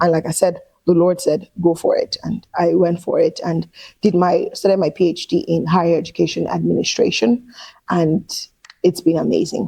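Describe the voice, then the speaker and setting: A woman with a Nigerian accent speaks at a moderate pace. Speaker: career coach. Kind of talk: interview answer.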